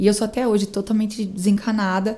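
The woman speaks fairly quickly at medium pitch with a dark, mellow tone. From Brazil, São Paulo state interior (Araras). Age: 30s. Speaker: event producer and businesswoman. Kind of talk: casual interview chat.

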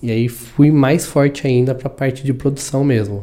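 A man's dark, mellow tone carries his words at a moderate pace. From São Paulo, Brazil. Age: 30s. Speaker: audiovisual producer. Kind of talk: casual chat.

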